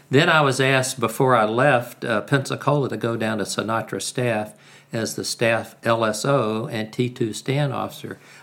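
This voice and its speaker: A man with an American accent speaks at a moderate pace and medium pitch with fairly even intonation, an ordinary speaking voice. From US South (Alabama, Carolinas). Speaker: retired navy attack pilot. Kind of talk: interview.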